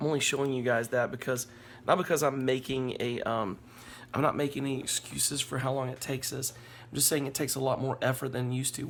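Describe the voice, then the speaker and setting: A man at medium pitch speaks fairly quickly in a flat monotone. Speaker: family vlogger and pastor. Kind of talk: casual talk to camera.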